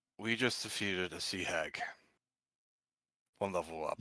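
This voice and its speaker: Using a raspy, put-on character voice, a man speaks at a fairly low pitch and a moderate pace with ordinary pitch variation. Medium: actual play.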